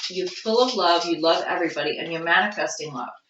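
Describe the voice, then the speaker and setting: A fairly quick-paced woman with a Long Island accent, amid noticeable background noise and audible room echo. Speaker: tarot reader. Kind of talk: tarot reading.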